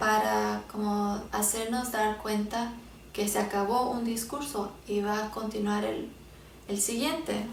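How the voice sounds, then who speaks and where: A woman with an English accent speaks at a very slow pace in a fairly high pitch, with audible room echo around her. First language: English (speaking Spanish). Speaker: Bible teacher. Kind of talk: Bible teaching talk; casual talk to viewers. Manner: halting, many fillers.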